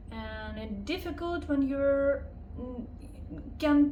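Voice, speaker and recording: A woman with a non-native accent speaks very slowly amid noticeable background noise and audible room echo. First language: not English. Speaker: vlogger. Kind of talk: personal vlog monologue. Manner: halting, many fillers.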